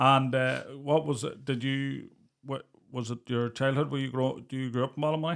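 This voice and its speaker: In a Northern Irish accent, a man speaks at a moderate pace and a medium pitch. His intonation is flat and monotone. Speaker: podcast co-host. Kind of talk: casual interview chat.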